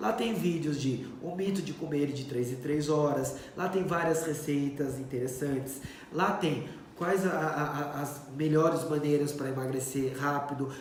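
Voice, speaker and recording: A man's fairly high voice at a fairly slow pace, ordinary pitch variation, with audible room echo and noticeable background noise. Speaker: doctor. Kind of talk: live stream Q&A. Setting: Instagram live stream.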